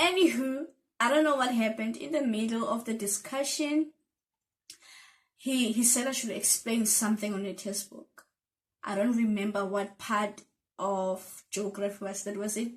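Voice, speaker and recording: A woman's fairly high, somewhat breathy voice at a moderate pace, with ordinary pitch variation and long, frequent pauses. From South Africa. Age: 20s. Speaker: YouTuber. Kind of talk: casual storytime talk to camera. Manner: chatty, playful.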